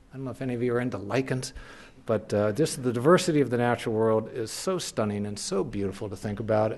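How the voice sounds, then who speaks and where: With an American accent, this man rushes through his words at a very fast clip. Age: 60s. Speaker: naturalist and author. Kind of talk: lecture. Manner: casual, humorous presentation with hesitations.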